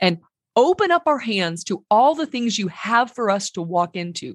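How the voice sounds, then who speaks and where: Warm and animated in tone, a woman's voice is somewhat breathy. The recording sounds dry and close, with no echo. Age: 50s. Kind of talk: podcast teaching monologue.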